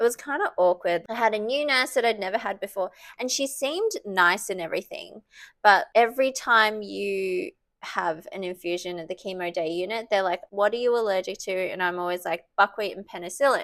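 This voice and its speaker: A woman with an Australian accent speaks at a medium pitch and a fairly quick pace. The recording is very clean, with a silent background. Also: ordinary pitch variation. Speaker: breast cancer patient vlogger. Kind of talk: casual talk to camera.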